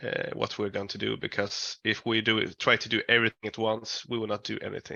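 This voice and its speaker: Barely pausing, a man talks at a fairly quick pace. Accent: Swedish. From Sweden. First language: Swedish. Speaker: metal band musician. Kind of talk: interview. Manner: halting.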